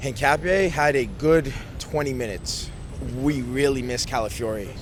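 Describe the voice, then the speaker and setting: With an American accent, a man speaks at a medium pitch and ordinary pitch variation over noticeable background noise. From United States. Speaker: football fan. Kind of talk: post-match fan interview.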